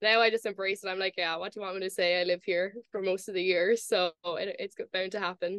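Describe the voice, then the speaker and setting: A woman with an American accent talks at a fairly quick pace with hardly any pauses, her medium-pitched voice held in a flat monotone. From Ireland, Cork. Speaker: college golfer. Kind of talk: podcast interview.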